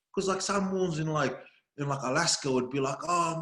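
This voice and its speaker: A man's speech races along very fast. The melody of his voice is lively. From Melbourne, Australia (Samoan family, born in New Zealand). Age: 30s. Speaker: comedy video creator. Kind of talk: casual interview chat. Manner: animated.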